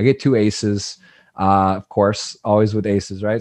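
Someone with an American accent talks at a moderate pace over a quiet background. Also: man. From Michigan, US. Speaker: poker broadcaster and player; podcast guest. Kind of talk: casual interview. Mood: animated storytelling about a poker hand. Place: home room. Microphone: studio mic.

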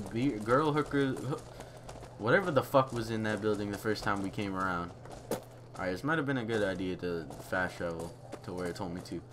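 A man at medium pitch, lively intonation, fairly quick pace. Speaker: gamer. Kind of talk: casual gameplay commentary.

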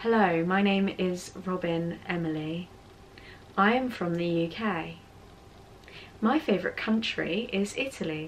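Using a put-on, robotic character voice in a British accent, a woman speaks at a medium pitch and a fairly slow pace with long, frequent pauses amid clear background noise. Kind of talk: slow, formal introduction.

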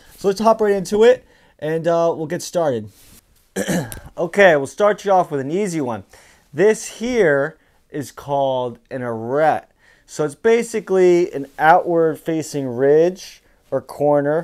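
A man at a fairly slow pace, lively intonation, against a quiet background. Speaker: climbing vlogger. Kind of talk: casual explainer vlog. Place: home room. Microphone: lapel.

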